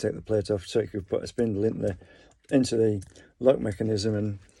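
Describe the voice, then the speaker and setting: A man's dark, mellow tone at a fairly quick pace, fairly even in intonation, against a quiet background. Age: 50s. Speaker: vlogger. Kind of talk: casual monologue. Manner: halting.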